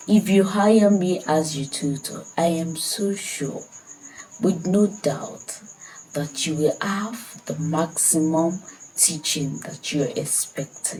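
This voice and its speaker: Against noticeable background noise, a woman with a Nigerian accent speaks at a very slow pace in a fairly low pitch with ordinary pitch variation. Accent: Nigerian (Yoruba) English. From Nigeria, Ekiti State. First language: Yoruba. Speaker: language tutor. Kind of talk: self-introduction sales pitch.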